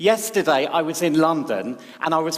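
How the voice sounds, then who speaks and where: Background noise is clearly present. Through it comes a man's voice. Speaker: speechwriter. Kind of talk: public talk. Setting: stage with audience.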